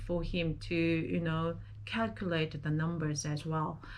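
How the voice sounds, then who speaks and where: With a non-native accent, a woman speaks at a very slow pace and a fairly low pitch, and room echo is audible. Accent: non-native English speaker. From South Korea. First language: Korean. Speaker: vlogger. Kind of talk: personal vlog monologue. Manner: halting, with fillers.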